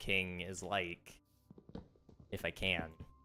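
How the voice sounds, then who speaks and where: A man talks with a very deep, low pitch. Music plays in the background. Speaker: gaming streamer. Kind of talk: casual chat. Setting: livestream. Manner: subdued, little emotional range.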